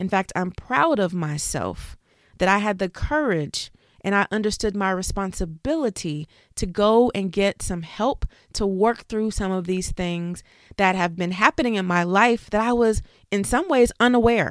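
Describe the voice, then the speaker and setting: Speaking at a fairly slow pace, a woman with an unremarkable speaking voice keeps a medium pitch with ordinary pitch variation. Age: 40s. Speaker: life coach and podcast host. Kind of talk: motivational monologue.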